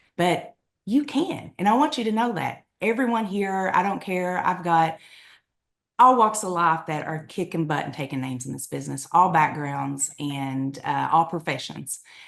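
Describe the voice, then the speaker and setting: Her voice is fairly low for a woman and shows vocal fry. The intonation stays lively. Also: moderate pace. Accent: strong eastern Kentucky. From eastern Kentucky, Appalachia. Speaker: direct sales leader. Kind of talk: podcast interview. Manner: animated.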